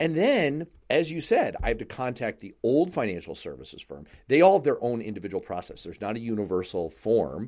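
A man speaks at a fairly quick pace with medium pitch, very wide pitch swings, big swings in loudness and vocal fry. The recording is very clean, with a silent background. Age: 40s. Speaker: radio and podcast host. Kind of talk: casual chat.

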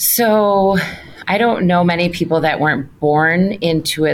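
A woman with a very deep, low pitch, an Upper Midwest accent, ordinary pitch variation and a moderate pace. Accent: Upper Midwest American. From Wisconsin, suburb of Milwaukee. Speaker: trade association president. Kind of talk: interview. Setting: office.

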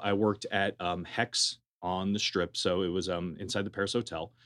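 Against a quiet background, a man with an American accent and a normal speaking voice talks at a moderate pace, fairly low in pitch, with fairly even intonation. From California (Berkeley). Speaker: juice bar owner. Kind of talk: casual interview.

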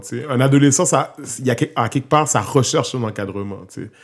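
A man speaks in an ordinary speaking voice at a medium pitch with ordinary pitch variation. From Quebec, Montreal. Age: 30s. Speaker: hip-hop artist and youth worker. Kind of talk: casual interview.

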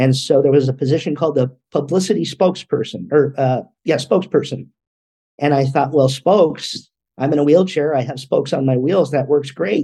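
With an American accent, the speaker talks at a fairly quick pace in a dark, mellow, somewhat breathy tone. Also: man, fairly high pitch for a man, ordinary pitch variation. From California. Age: 30s. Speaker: motivational speaker. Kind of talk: interview.

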